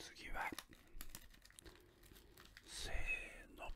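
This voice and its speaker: Very slowly, a man speaks in a whisper. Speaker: ASMR unboxing host. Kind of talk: ASMR whispered unboxing. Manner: whispered. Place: home room. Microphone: studio mic.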